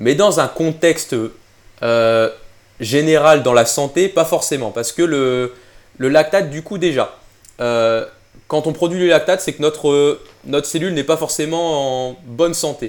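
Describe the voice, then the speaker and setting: A man speaks at a fairly high pitch and fairly slow pace, with ordinary pitch variation. Long, frequent pauses break up his speech. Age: 20s. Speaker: nutrition and exercise science specialist. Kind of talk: casual chat. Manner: halting.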